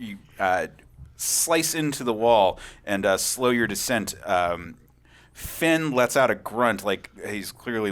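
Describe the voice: Plain reading aloud is delivered with lively intonation.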